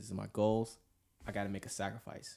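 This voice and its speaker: A man with an American accent speaks at a moderate pace in a fairly low pitch. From US South, Atlanta, Georgia. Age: 20s. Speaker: navy culinary specialist. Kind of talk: faith-based casual discussion. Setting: studio.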